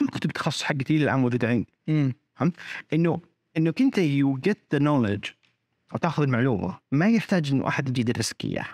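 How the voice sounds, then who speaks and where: This man's voice sits fairly high and moves with lively intonation. His loudness stays very even, and the sound is dry and close with no echo. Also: fairly quick pace, very clean recording, silent background. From Saudi Arabia, teen years in Australia. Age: 30s. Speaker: startup founder. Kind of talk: interview.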